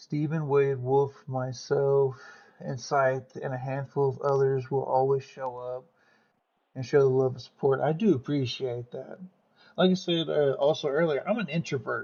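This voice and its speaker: Moderate pace in an American accent, somewhat breathy, with fairly even intonation and big swings in loudness. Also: man, fairly high pitch for a man. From US South. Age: 30s. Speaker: streamer. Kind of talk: casual chat.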